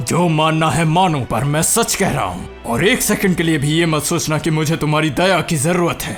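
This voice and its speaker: Over clear music in the background, a man does a put-on character voice at a fairly high pitch and fairly quick pace. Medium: dub. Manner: arrogant, intense.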